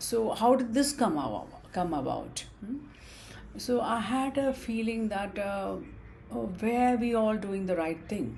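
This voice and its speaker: Amid audible room echo, a woman with an Indian accent and a fairly high pitch speaks at a fairly slow pace with lively intonation and long, frequent pauses. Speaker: student vlogger. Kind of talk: casual talk to camera. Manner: halting, many fillers.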